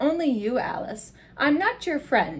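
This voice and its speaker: Someone does a put-on character voice at a moderate pace, with very wide pitch swings. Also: woman. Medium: read story. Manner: smug, teasing.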